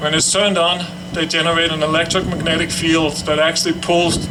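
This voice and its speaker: A man with a European accent speaks fairly quickly in a monotone, flat intonation at a fairly high pitch. Noticeable background noise and audible room echo fill the recording. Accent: foreign, European. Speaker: cancer survivor speaker. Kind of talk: ceremony speech. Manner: halting.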